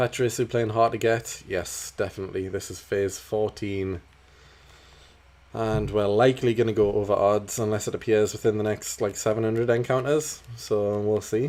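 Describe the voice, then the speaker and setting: Fairly even intonation carries the voice at a moderate pace. There is a slight Geordie accent. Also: man, fairly low pitch for a man. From northern England, Newcastle. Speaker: gaming streamer. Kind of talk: casual live-stream chat. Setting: live stream.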